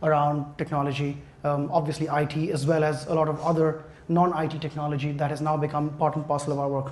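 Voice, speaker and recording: A man with a fairly high pitch is heard through noticeable background noise and audible room echo. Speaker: technology consultant presenting. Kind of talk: conference presentation. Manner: fast when excited; hesitant, many fillers.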